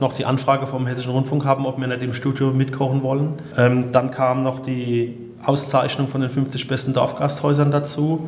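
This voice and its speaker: A man speaks at a medium pitch in a monotone, flat intonation. Audible room echo and noticeable background noise surround him. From southern Hesse, Odenwald. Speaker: innkeeper and chef. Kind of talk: interview.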